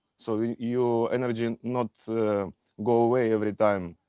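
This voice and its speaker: The voice has a dark, mellow tone and moves at a fairly slow pace. The sound is dry and close with no echo, over a quiet background. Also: man. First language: not English. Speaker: Ayurveda health practitioner. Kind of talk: live stream Q&A. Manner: halting, many fillers.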